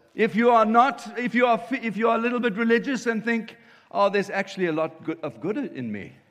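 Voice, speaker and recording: Amid noticeable background noise, the speaker keeps a moderate pace with ordinary pitch variation and long, frequent pauses. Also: man, high pitch for a man. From South Africa, Cape Town. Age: 50s. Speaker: pastor. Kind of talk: sermon.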